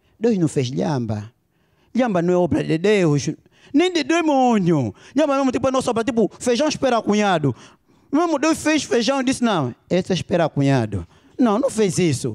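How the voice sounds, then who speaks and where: At a moderate pace over a quiet background, a man speaks with a high pitch. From Angola. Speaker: stand-up comedian. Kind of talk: stand-up comedy. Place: stage. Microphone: handheld.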